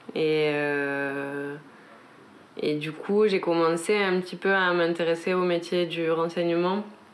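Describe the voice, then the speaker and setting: A woman talks at a very slow pace with fairly even intonation. Her fairly low voice carries audible room echo. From French Pyrenees, south of Haute-Garonne. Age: 20s. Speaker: interviewee. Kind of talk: casual chat. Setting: home balcony. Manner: hesitant, many fillers.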